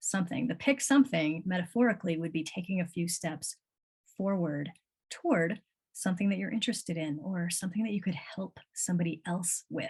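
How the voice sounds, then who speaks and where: With an American accent, this somewhat breathy voice moves at a fairly quick pace with ordinary pitch variation. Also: woman. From US Midwest, North Shore of Chicago. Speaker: coach. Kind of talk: livestream talk with chat. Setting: live video stream. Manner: casual, animated.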